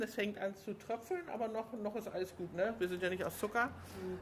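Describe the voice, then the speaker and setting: Moderate pace, ordinary pitch variation and an unremarkable speaking voice from a woman. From Hamburg. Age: 50s. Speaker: local party podcast host. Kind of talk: casual interview.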